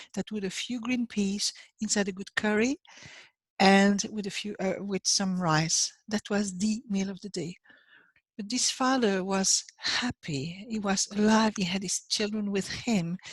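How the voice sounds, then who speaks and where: A woman with a French accent speaks at a fairly slow pace and medium pitch. Her voice is somewhat breathy, with fairly even intonation. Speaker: life coach. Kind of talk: motivational talk. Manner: halting.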